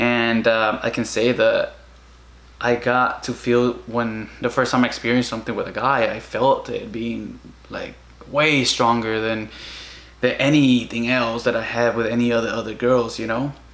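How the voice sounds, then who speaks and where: A man's monotone, flat delivery at a moderate pace, with a Spanish accent. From Guatemala. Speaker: vlogger. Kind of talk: casual personal vlog monologue. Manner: halting, many fillers. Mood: emotional, reflective. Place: home room. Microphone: camera far.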